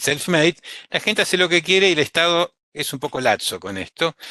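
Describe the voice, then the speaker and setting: With a quiet background, a man speaks at a moderate pace in a bright, sharp tone and lively intonation. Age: 60s. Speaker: physician, vaccine specialist. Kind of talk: webinar talk. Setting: online webinar.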